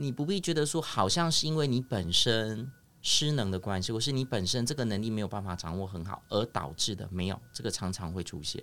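A man talks at a fairly quick pace with hardly any pauses, his fairly low pitch making very wide swings. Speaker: speech therapist. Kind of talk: casual chat. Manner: animated.

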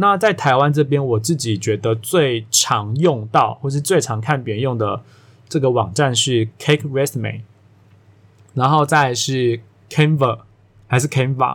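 Speaking with a Taiwanese accent, a man talks fairly slowly at a medium pitch with ordinary pitch variation, on a very clean recording with a silent background. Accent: Taiwanese Mandarin. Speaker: podcast host, career coach. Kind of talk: solo podcast monologue. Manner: casual, filler-heavy.

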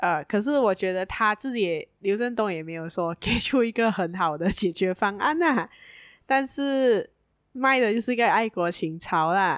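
In a normal speaking voice, a woman at a medium pitch talks at a moderate pace with lively intonation, on a very clean, dry, close recording with a silent background and no echo. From Malaysia, Penang. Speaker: podcast co-host. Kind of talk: casual chat. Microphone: new microphone.

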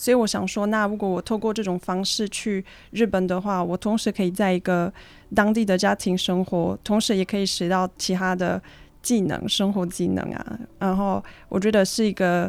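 Monotone, flat intonation from a woman, medium in pitch and moderate in pace. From Switzerland. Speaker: student and traveler sharing her story. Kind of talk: interview.

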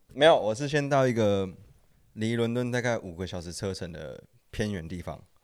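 A man with a fairly low pitch uses an ordinary speaking voice at a moderate pace, with lively intonation and big swings in loudness. The recording is very clean, with a silent background. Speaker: former sneaker shop worker and design student. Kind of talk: casual chat.

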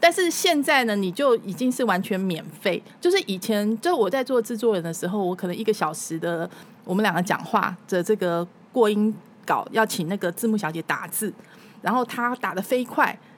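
Here is an ordinary speaking voice, from a woman at medium pitch. Her intonation is lively and her pace moderate. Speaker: former TV news anchor and food show host. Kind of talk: casual interview chat.

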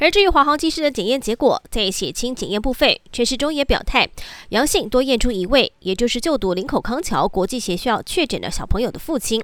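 Her pitch is high and swings very widely. The woman moves at a fairly quick pace. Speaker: news anchor. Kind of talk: news reading. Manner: formal.

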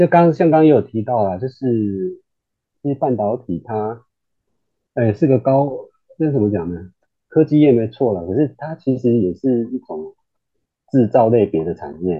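A man's medium-pitched voice at a moderate pace, with very wide pitch swings, long and frequent pauses, and music in the background. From Taiwan, Kaohsiung. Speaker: semiconductor engineer. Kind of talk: casual interview.

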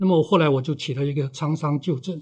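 Against a quiet background, a man talks with ordinary pitch variation. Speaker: author and veteran editor. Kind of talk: interview. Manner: unhurried, leisurely; halting, with fillers.

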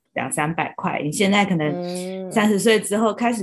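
Using a plain, everyday voice, a woman talks at a moderate pace with medium pitch and ordinary pitch variation. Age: 30s. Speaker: podcast co-host. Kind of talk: casual chat.

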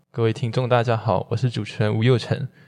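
The background is silent on this very clean recording. On it, a man uses a medium pitch and a dark, mellow tone. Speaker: student podcast host. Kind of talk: interview.

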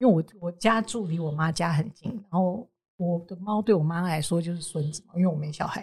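Somewhat breathy, the voice keeps a fairly quick pace with ordinary pitch variation. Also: woman, fairly low pitch for a woman. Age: 40s. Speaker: advertising agency co-founder. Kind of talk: interview.

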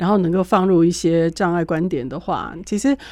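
Against a quiet background, a woman with a dark, mellow tone speaks at a moderate pace with fairly even intonation. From Taiwan. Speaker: radio host. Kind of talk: radio interview. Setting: studio.

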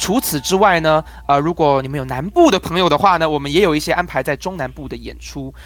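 Over music in the background, a man speaks at a very fast pace with hardly any pauses. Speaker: crosstalk comedian. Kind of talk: interview.

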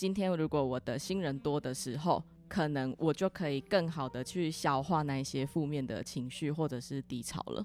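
A woman talks at a moderate pace with a very deep, low pitch. Her pitch variation is ordinary, and she hardly pauses. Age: 20s. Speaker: insurance agent. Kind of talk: interview; closing message.

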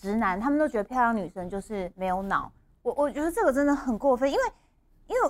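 A woman talks at a very fast pace in a high voice, her pitch swinging very widely. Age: 40s. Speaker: talk show co-host. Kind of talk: casual chat. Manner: animated, code-switching into English.

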